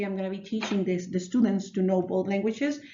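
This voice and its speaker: There is noticeable background noise behind a woman's voice. Audible room echo surrounds her speech. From northern Mexico, Ciudad Juarez. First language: Spanish. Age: 30s. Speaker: elementary school teacher. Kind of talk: self-narrated class reflection. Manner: hesitant, many fillers and restarts.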